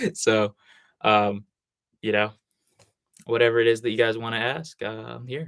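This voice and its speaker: With an American accent, a man talks in a medium pitch and fairly even intonation, leaving long, frequent pauses. The sound is dry and close, with no echo. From US Northeast. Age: 20s. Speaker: addiction recovery content creator. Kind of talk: live stream Q&A. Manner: fast; casual, talkative.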